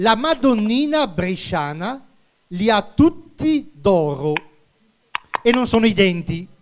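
At a very slow pace, a man talks at a high pitch over a quiet background. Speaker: quiz game host. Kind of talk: phone-in quiz game. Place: stage. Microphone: handheld.

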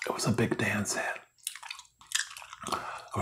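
A soft-spoken man whispers at a moderate pace. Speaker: channel host. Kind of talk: casual vlog chat. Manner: soft whispered talk close to mic. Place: home room. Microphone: phone near.

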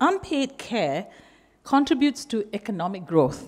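Against a quiet background, a woman with vocal fry speaks at fairly high pitch. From Malaysia. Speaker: keynote speaker. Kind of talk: speech. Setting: stage with audience. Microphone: podium.

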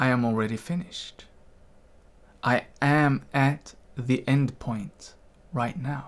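A man speaks at a very slow pace with ordinary pitch variation. Long, frequent pauses break up his words. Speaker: meditation teacher. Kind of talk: guided meditation, calm instructional talk. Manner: slow, soothing, gentle. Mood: calm, gentle, reflective. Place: home room. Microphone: studio mic.

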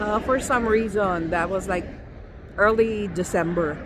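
A woman talks over noticeable background noise. The sound is dry, with no echo. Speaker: food vlogger. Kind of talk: casual vlog chat. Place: street. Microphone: phone near.

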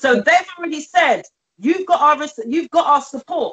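A woman is speaking. She has a British accent. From England. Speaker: community campaigner. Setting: video call. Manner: animated.

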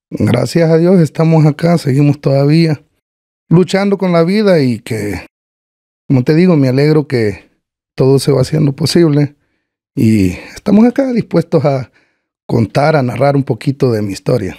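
Against a quiet background, a man with a Salvadoran accent and a dark, mellow tone speaks with lively intonation and long, frequent pauses. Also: moderate pace. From El Salvador, Chalchuapa, Santa Ana; El Salvador. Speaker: cancer patient guest; podcast guest. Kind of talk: casual interview chat. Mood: grateful, warm. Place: studio. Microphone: studio mic.

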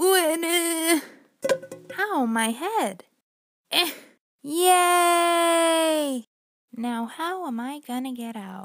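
A woman does a cartoonish character voice at an extremely high pitch with very wide pitch swings, speaking very slowly with long, frequent pauses.

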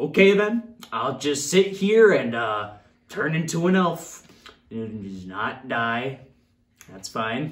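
In a put-on character voice at low-to-middle pitch, the speaker goes very slowly, with very wide pitch swings and long, frequent pauses.

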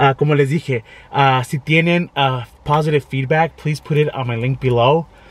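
A somewhat breathy man at a moderate pace, with fairly even intonation and a dry sound with no echo. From Arizona, US (Tolleson), Mexican-American family. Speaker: YouTube vlogger. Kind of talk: casual vlog monologue, code-switching English and Spanish. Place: car. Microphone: phone near.

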